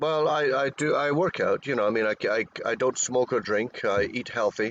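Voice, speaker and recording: In a Scottish accent, a man talks at a moderate pace and medium pitch, with ordinary pitch variation and very even loudness. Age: 60s. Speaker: cryptozoologist, expedition researcher. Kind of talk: interview. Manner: halting, repeats words.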